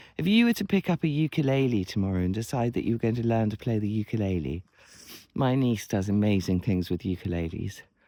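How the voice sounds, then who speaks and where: Very clean recording with a silent background: a man's fairly low, dark, mellow voice with lively intonation at a very fast pace. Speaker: writer and writing coach. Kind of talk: casual talk to camera. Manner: rambling.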